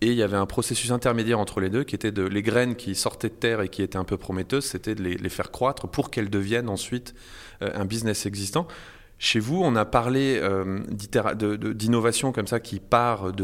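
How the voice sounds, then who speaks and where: With a normal speaking voice, a man speaks at a moderate pace, fairly low in pitch with ordinary pitch variation, in a very clean recording with a silent background. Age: 40s. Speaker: podcast host. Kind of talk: interview.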